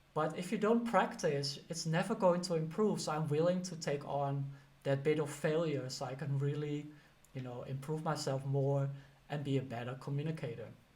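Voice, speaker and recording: A man's fairly high, somewhat breathy voice with a slight Dutch accent, at a moderate pace with ordinary pitch variation and audible room echo. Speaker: career coach and teacher. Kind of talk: casual advice talk to camera. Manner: conversational, many fillers.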